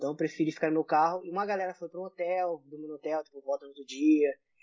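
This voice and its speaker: Speaking very fast, a man with a high pitch keeps his intonation fairly even. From Brazil, Rio de Janeiro. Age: 30s. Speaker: airsoft player. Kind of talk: casual chat.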